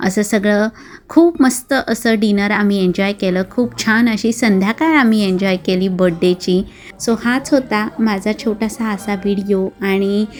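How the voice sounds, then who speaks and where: There is noticeable background noise behind the speaker. A woman talks with fairly high pitch and ordinary pitch variation. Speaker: vlogger. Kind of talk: vlog narration.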